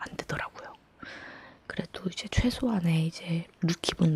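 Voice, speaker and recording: The speaker whispers in a calm tone. Noticeable background noise can be heard. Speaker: ASMR creator. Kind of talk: whispered talking ASMR chat. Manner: whispered; soft-spoken, calm.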